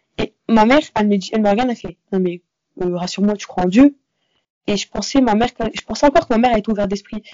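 The woman's voice sits fairly high in pitch. She talks at a very fast pace but leaves long, frequent pauses. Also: ordinary pitch variation. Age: young. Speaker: university student. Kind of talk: interview.

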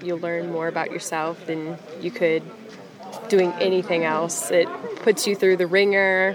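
A woman talks at a moderate speed in a fairly low voice. Her pitch varies in an ordinary way, with noticeable background noise present. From southern Louisiana. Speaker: trail crew member. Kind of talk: casual interview.

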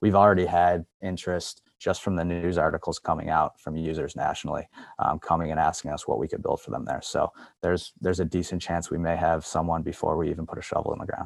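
Speaking very fast in a Western New York accent, the voice stays monotone with flat intonation. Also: man, very deep, low pitch for a man. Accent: Western New York (Inland North) American. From Buffalo, New York. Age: 40s. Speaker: commercial real estate executive. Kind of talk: interview. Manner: halting, many fillers and restarts.

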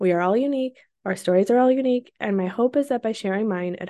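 A dark, mellow voice speaks at a very fast pace with ordinary pitch variation. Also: woman. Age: 30s. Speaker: podcast host, working mom. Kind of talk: personal monologue. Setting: home office.

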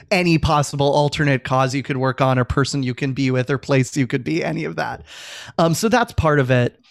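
A man with an American accent talks at a fairly quick pace in a normal speaking voice, fairly high in pitch with ordinary pitch variation. The sound is dry and close, with no echo. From Virginia, US. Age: 30s. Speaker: civic advocate and author. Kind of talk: interview conversation.

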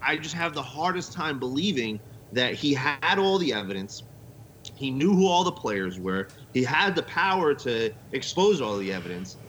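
With an American accent, a man speaks at a moderate pace, his fairly high pitch making very wide swings. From Las Vegas, US. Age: 30s. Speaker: podcast co-host, guest. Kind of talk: casual chat.

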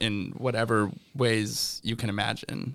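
A man speaks with a fairly low pitch. His delivery is fairly slow, with fairly even intonation. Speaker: podcast host, college student. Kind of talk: casual interview. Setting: studio.

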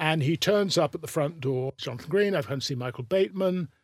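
Somewhat breathy and fairly high for a man, this voice moves at a fairly quick pace with ordinary pitch variation on a very clean recording with a silent background. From England, around London. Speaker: slang lexicographer and writer. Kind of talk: interview.

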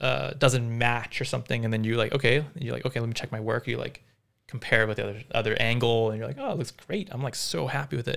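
Talking at a very fast pace, a man with a medium pitch and vocal fry uses ordinary pitch variation. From Vancouver, Canada (born in South Africa). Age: 30s. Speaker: cinematographer. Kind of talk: casual interview.

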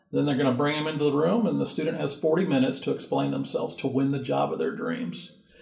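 A man with an American accent talks at a very fast pace. There is audible room echo. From US West Coast (Southern California). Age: 60s. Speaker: university career center director. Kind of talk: interview. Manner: animated.

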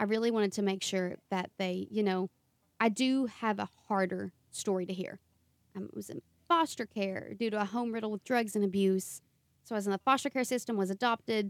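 In a strong Appalachian accent, a woman speaks fairly quickly at a medium pitch. Her pitch varies in an ordinary way, and the sound is dry and close with no echo. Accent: Appalachian, thick. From Eastern Kentucky. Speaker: podcast co-host and author. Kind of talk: casual interview chat, being interviewed.

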